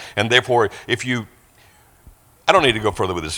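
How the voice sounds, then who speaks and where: Speaking at a very fast pace, a man uses a medium pitch with ordinary pitch variation. His tone is bright and sharp. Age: 60s. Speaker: guest preacher. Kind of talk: sermon.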